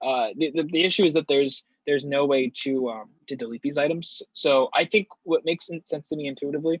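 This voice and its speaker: A man's voice sits fairly high in pitch, with ordinary variation. The sound is dry and close, with no echo. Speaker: workshop instructor. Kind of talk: tutorial. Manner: fast; halting, many fillers.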